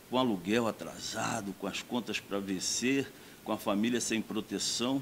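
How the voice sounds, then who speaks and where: An ordinary speaking voice at a fairly slow pace with ordinary pitch variation. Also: man. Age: 60s. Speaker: doctor and mayoral candidate. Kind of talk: campaign speech.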